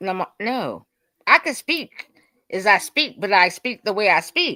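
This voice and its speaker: In a very clean recording with a silent background and a dry, close sound with no echo, a woman speaks at medium pitch with very wide pitch swings and a bright, sharp tone. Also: fairly slow pace. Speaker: debate panelist. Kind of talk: heated debate. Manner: loud, profane.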